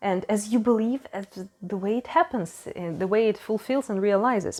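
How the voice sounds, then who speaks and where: A woman with a non-native accent speaks at a moderate pace in a fairly high voice, with noticeable background noise. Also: ordinary pitch variation. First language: not English. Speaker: tarot reader. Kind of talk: tarot reading monologue. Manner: halting.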